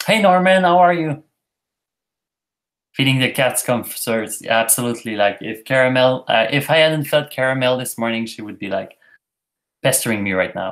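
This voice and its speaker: In a Quebec accent, a man at medium pitch talks at a moderate pace with lively intonation, big swings in loudness and long, frequent pauses, on a very clean recording with a silent background. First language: French. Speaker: YouTuber. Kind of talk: live stream chat reading comments. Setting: live stream.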